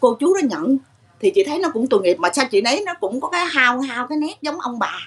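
A woman speaks in a high pitch. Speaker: caller. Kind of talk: interview answer. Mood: emotional, pitying. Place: shop. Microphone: video call.

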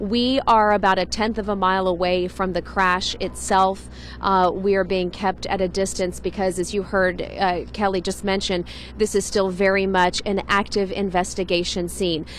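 The sound is dry with no echo and light background noise. A woman talks at a moderate pace and very even loudness. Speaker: TV field reporter. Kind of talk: live news report. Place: street. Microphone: handheld.

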